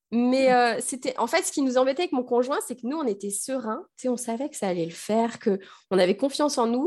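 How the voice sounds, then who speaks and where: A woman speaks in a high pitch with lively intonation. Her pace is fairly quick. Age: 30s. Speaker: primary school teacher and mother. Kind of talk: personal testimony in interview.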